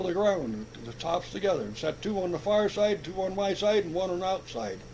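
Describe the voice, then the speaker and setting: This man has a high-pitched voice and speaks at a moderate pace. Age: 70s. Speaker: old-timer interviewee, former farmhand and sawyer. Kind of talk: oral history interview. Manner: halting, repeats words.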